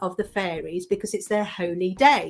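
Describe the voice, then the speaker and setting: Fairly even intonation from a woman. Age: 60s. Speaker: card reader and manifesting mentor. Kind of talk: interview. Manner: halting.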